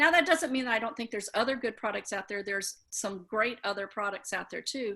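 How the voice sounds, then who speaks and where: Over a quiet background, a woman's bright, sharp tone carries ordinary pitch variation. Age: 60s. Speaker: skin care product distributor; guest. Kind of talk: casual chat. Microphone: video call.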